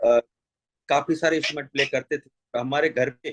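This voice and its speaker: Over music in the background, a man speaks at a fairly high pitch with fairly even intonation, the sound dry and close with no echo. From Jaisalmer, Rajasthan, India. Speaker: folk musician. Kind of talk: interview.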